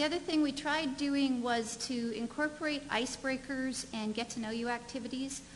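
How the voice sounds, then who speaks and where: Light background noise behind a female speaker. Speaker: conference presenter. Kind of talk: conference presentation. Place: hall.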